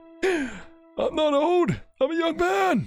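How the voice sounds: A put-on character voice plays over faint music in the background.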